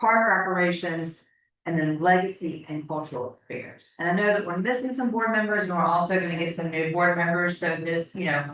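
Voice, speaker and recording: Delivered at a fairly quick pace, a normal speaking voice carries ordinary pitch variation. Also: woman, fairly low pitch for a woman. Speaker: board chair. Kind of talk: board meeting.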